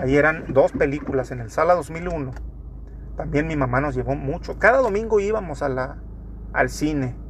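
A man talks at a moderate pace, with noticeable background noise and audible room echo. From Torreón, Coahuila, northern Mexico. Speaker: podcaster. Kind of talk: casual monologue.

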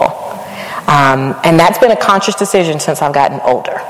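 A woman with a very deep, low pitch speaks at a moderate pace with ordinary pitch variation over noticeable background noise. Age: 40s. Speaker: university vice president. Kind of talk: live interview. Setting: stage with audience.

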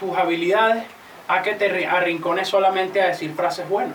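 Over noticeable background noise and audible room echo, a man speaks at a moderate pace in a high pitch with monotone, flat intonation. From Venezuela. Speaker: freestyle rapper. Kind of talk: casual chat.

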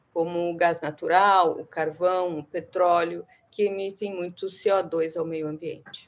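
A woman talks at a fairly slow pace. Her fairly low pitch stays monotone and flat. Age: 50s. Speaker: researcher. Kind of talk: interview.

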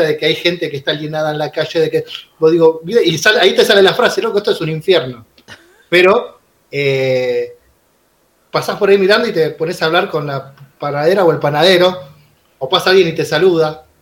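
A man with a high pitch talks fairly quickly, his pitch varying in an ordinary way. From Buenos Aires suburbs, Argentina. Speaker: teacher and union activist. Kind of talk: casual chat. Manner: halting, repeats words.

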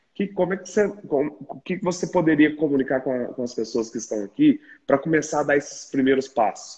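A man's somewhat breathy, fairly high voice at a fairly quick pace, with hardly any pauses. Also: lively intonation. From Minas Gerais, Brazil. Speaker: podcast host in pharmacy retail sector. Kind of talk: interview conversation.

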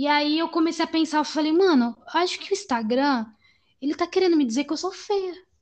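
With an extremely high pitch and ordinary pitch variation, a woman talks at a fairly quick pace. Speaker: podcast host. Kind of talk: casual chat. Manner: talkative.

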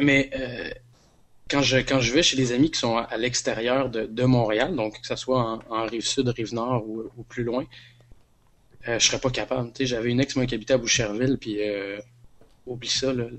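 Delivered at a moderate pace with long, frequent pauses, the speech stays monotone and flat in intonation. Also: man, medium pitch for a man. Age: 30s. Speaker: podcast guest. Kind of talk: casual chat.

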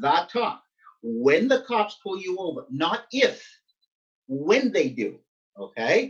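A man's high voice with very wide pitch swings, very slow with long, frequent pauses, over music in the background. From Nova Scotia, Canada (Halifax-Dartmouth). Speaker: pastor. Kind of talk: interview. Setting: video call.

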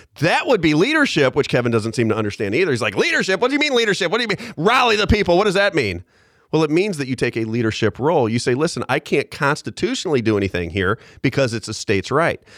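A man talks at a very fast pace and fairly high pitch, with vocal fry. His pitch swings very widely on a very clean recording with a silent background. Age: 40s. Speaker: talk radio host. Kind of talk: talk radio commentary. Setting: radio studio.

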